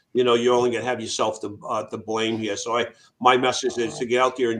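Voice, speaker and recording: A man's medium-pitched, monotone delivery in a Boston accent, very fast, against a quiet background. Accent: New England (Boston-area). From Massachusetts, Worcester. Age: 60s. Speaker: veteran charity founder. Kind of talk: interview. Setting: radio show.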